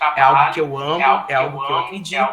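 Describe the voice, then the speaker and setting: A man keeps a moderate pace while noticeable background noise and audible room echo surround his voice. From Brazil, Minas Gerais (Palma, near Rio border). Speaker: speech therapist and musician. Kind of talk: lecture. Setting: video call.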